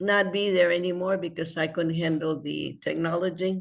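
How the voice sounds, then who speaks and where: A woman's fairly low pitch with vocal fry, fairly even intonation and a moderate pace. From El Paso, Texas. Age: 80s+. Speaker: community member, immigrant advocate. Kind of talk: online meeting discussion. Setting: video call. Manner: halting.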